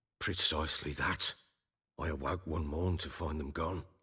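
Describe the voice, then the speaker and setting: Raspy and very deep, a man's put-on character voice stays monotone and flat at a moderate pace. The recording is very clean, with a silent background. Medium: video game. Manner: gruff, blunt.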